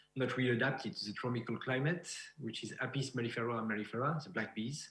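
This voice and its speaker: In a somewhat breathy voice with a French accent, someone talks at a fairly quick pace with ordinary pitch variation, and the room echo is audible. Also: man. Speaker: beekeeper and researcher. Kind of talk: conference presentation. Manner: halting.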